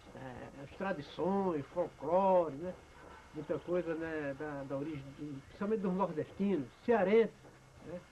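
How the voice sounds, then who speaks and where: A man's high-pitched voice at a fairly slow pace, with noticeable background noise. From Brazil, Ceará (Cariri region). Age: 70s. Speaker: elderly storyteller recounting memoirs. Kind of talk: personal memoir monologue. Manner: halting, many fillers.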